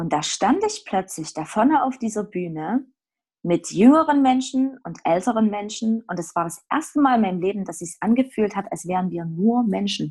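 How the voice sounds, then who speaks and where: Her medium-pitched, somewhat breathy voice moves at a moderate pace as this woman swings widely in both pitch and loudness. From Saxony, Erzgebirge. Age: 30s. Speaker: theologian and actress. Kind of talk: casual chat.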